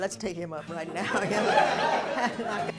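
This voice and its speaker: A woman is speaking. Crowd noise fills the background. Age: 60s. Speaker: stand-up comedian, sociologist. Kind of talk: stand-up comedy routine.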